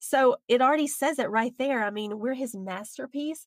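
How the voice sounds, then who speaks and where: Speaking in a Southern US accent, a woman talks at a fairly slow pace. Her pitch is high. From US South, Alabama. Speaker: author and speaker. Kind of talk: interview.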